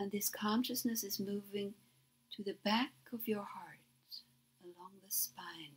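At a fairly slow pace, a woman with a medium pitch, ordinary pitch variation and vocal fry speaks. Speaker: meditation guide. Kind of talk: guided meditation. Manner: soothing, hypnotic.

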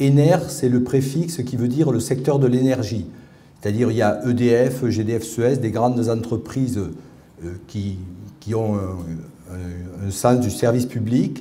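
Somewhat breathy and dark, mellow in tone, a man speaks at a fairly slow pace with ordinary pitch variation and long, frequent pauses. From Paris. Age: 50s. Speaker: researcher and patient advocate; conference speaker. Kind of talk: testimony talk. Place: hall. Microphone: podium.

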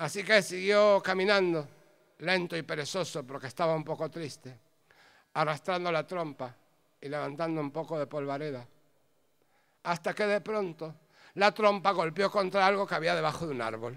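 The speaker talks at a moderate pace with ordinary pitch variation, leaving long, frequent pauses. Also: man, fairly high pitch for a man. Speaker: storyteller. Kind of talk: live storytelling, humorous tale told to an audience. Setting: stage with audience. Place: stage. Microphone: handheld.

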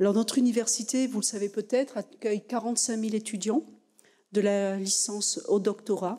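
A woman speaks at a moderate pace with a fairly high pitch and a dark, mellow tone against a quiet background. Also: fairly even intonation. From France. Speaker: university president. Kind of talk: formal speech. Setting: lecture hall with audience. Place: hall. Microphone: podium.

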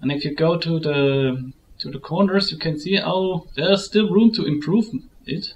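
A moderate pace in a German accent, over light background noise. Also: man. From Germany. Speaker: photo editing tutorial maker. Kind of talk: tutorial. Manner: halting.

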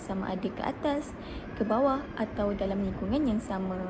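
A woman talks at a moderate pace. There is audible room echo along with noticeable background noise. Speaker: student teacher. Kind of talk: class presentation. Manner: formal; halting.

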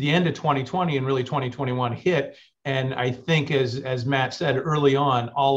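The voice is somewhat breathy and moves at a fairly slow pace. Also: man. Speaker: panelist. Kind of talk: panel discussion answer. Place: office. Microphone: video call.

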